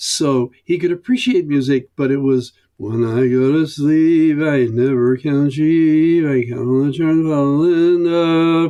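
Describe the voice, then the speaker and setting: At a fairly slow pace, a man talks with a fairly high pitch, ordinary pitch variation and a dark, mellow tone. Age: 80s+. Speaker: folk singer/songwriter. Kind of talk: interview answer, casual storytelling.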